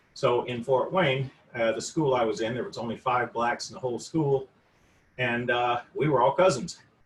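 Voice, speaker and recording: With an American accent, a man talks at medium pitch, somewhat breathy, with ordinary pitch variation. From US South (Mississippi), then Indiana. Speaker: anti-racism discussion co-host. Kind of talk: personal testimony in group discussion. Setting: video call.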